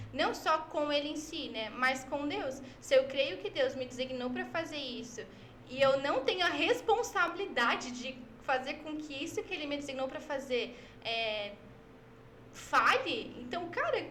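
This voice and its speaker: A high-pitched woman's voice with lively intonation and a fairly slow pace, audible room echo around it. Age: 20s. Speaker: church social media worker. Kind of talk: podcast interview.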